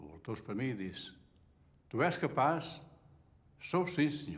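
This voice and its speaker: A fairly high-pitched male voice with vocal fry and lively intonation, at a fairly slow pace, with audible room echo. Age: 70s. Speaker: retired textile factory worker. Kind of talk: testimony.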